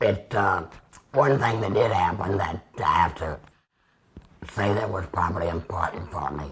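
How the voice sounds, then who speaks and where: Strained and with long, frequent pauses, a man talks at a fairly low pitch with ordinary pitch variation. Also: moderate pace. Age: 70s. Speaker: laryngectomy patient, retired minister. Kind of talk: interview. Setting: at home.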